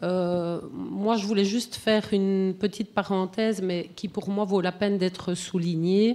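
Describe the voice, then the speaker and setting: A woman's medium-pitched, monotone voice with flat intonation and a Belgian accent. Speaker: animal-assisted therapy practitioner. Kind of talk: comment from the floor. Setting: conference round table. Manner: hesitant, many fillers.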